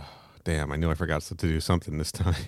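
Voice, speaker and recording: Recorded very cleanly, a man speaks against a silent background. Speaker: podcast co-host. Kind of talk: reading aloud own fan fiction.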